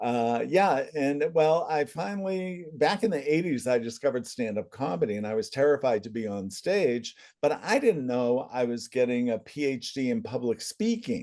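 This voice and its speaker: Speaking at a moderate pace with a New England accent, a man uses a dark, mellow tone at a fairly high pitch with very wide pitch swings. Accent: New England American. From central Massachusetts. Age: 70s. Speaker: family constellations facilitator, former comedian. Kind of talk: interview.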